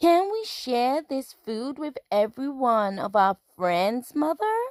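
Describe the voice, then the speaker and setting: A woman uses a put-on character voice, pitched high with very wide swings. She speaks at a fairly slow pace. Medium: read story.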